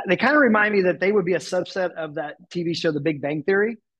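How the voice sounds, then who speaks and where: Here a man talks at a fairly quick pace in a plain, everyday voice. His pitch variation is ordinary. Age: 40s. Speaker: nonprofit executive. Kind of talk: interview.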